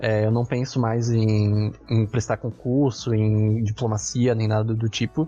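At a fairly slow pace with hardly any pauses, a man of medium pitch speaks in a somewhat breathy, monotone, flat voice at very even loudness. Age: 20s. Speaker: university student podcast host. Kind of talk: casual interview chat.

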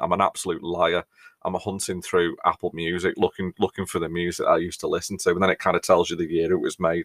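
Someone with a British accent speaks very fast. The recording is very clean, dry and close, with a silent background and no echo. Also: man. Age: 40s. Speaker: podcast host and mental health first aid trainer. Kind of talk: casual monologue.

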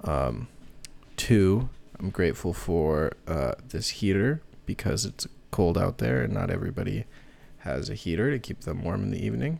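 A man with an American accent speaks at a moderate pace in a very deep, low voice with vocal fry. His pitch swings very widely. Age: 20s. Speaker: podcast host. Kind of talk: casual interview; solo sign-off monologue. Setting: indoors by a heater.

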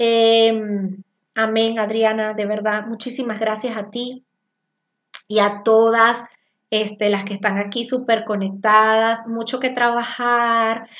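The speech moves at a very slow pace in a flat monotone. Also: woman, fairly high pitch for a woman. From Venezuela. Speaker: spiritual coach and tarot teacher. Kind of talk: live-streamed spiritual class. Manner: loud.

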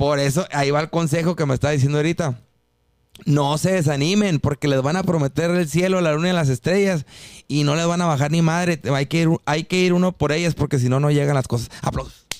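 A man speaks in a normal speaking voice at a fairly quick pace. His intonation stays fairly even. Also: fairly high pitch for a man, very even loudness. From Mexico, Mexicali (Baja California). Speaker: singer. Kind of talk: casual chat.

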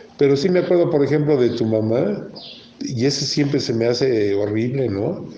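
In a room with audible echo and noticeable background noise, a man speaks with a Mexican accent at a moderate pace, his pitch medium and its variation ordinary. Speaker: podcast host. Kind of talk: casual chat.

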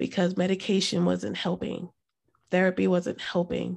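A woman talks with an American accent. Her recording is very clean, with a silent background. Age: 40s. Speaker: mental health advocate. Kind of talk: personal testimony.

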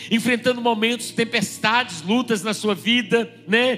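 A man speaks at an extremely high pitch and a moderate pace. There is noticeable background noise. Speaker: pastor. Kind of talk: sermon.

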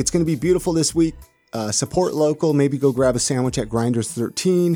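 A man's pitch swings very widely as he talks at a fairly quick pace with music in the background. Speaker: podcast host. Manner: announcer-like delivery.

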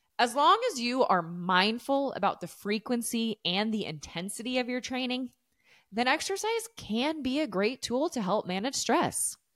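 In a very clean recording with a silent background, a woman with an American accent speaks at a moderate pace in a high pitch with lively intonation. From desert region of the US. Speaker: fitness coach and podcast host. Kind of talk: solo podcast monologue, casual and educational.

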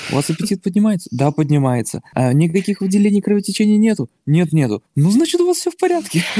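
The voice has a dark, mellow tone and lively intonation, with very even loudness. It moves at a very fast pace with hardly any pauses, in a dry, close sound with no echo. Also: man, high pitch for a man. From Baltic states. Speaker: new father. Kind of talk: casual interview.

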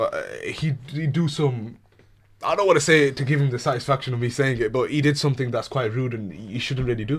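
Somewhat breathy and fairly high in pitch, a man talks at a fairly quick pace with ordinary pitch variation. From England, British Pakistani. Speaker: radio show guest. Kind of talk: casual chat. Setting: radio studio.

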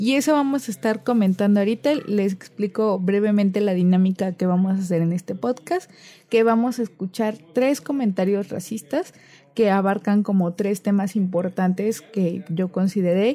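A woman's medium-pitched, dark, mellow voice at a moderate pace, with ordinary pitch variation and very even loudness. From Cozumel, Quintana Roo, Mexico. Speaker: podcast host, literature student. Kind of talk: casual chat.

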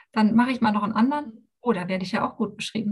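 Her voice is somewhat breathy and fairly high, a woman talking. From former East Germany. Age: 40s. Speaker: life coach. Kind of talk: podcast interview.

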